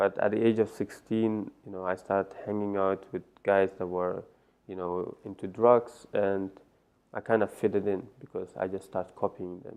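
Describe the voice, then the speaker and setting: With an Iranian accent, a man talks at a moderate pace in a fairly low pitch, his intonation monotone and flat while his loudness swings widely. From Netherlands, born in Afghanistan. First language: Farsi. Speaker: life coach. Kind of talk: interview.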